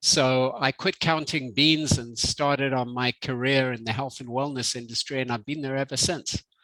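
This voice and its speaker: In a Zimbabwean accent, a man speaks at a moderate pace with hardly any pauses, his medium pitch carrying a bright, sharp tone. His intonation stays fairly even, and the sound is dry and close with no echo. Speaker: health company executive. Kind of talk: interview.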